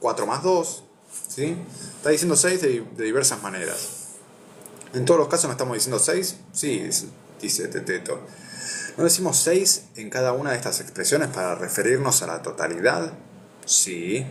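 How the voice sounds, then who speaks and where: Very wide pitch swings run through a moderate pace with long, frequent pauses. Noticeable background noise and audible room echo are present. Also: man, fairly high pitch for a man. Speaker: philosophy video host. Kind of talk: reading aloud with commentary. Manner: stuttering, repeats words.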